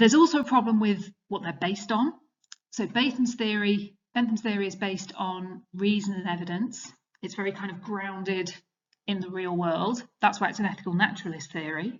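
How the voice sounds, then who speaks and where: A woman talks at a fairly quick pace in a somewhat breathy voice with ordinary pitch variation. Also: medium pitch for a woman. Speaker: teacher. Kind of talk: revision lecture. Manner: fast.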